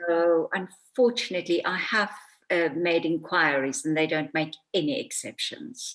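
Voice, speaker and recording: A woman with a South African accent speaks at a fairly slow pace. Her pitch is fairly low and her intonation lively. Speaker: author and voice coach. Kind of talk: interview.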